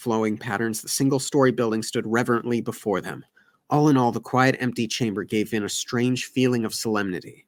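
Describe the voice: The speaker is plainly reading aloud with fairly even intonation.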